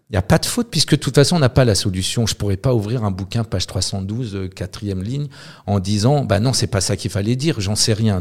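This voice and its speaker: At a moderate pace, the speaker sounds somewhat breathy with lively intonation on a very clean recording with a silent background. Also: man. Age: 50s. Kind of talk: interview. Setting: in Lille. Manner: halting with repetitions.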